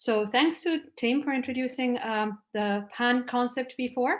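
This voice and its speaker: In a very clean recording with a silent background, a woman speaks with an Italian accent. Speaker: researcher. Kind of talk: conference talk.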